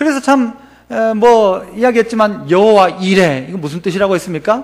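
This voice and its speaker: Speaking at a moderate pace, a man uses a high pitch and an animated tone. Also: lively intonation. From Gyeongsang region, South Korea. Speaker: pastor. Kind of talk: sermon. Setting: church. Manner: animated, rhetorical questions to congregation.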